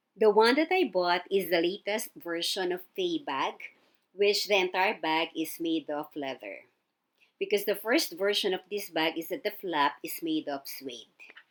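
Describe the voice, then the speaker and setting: A woman at a medium pitch, with lively intonation and a fairly slow pace. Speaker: fashion vlogger. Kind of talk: unboxing review. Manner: soft-spoken.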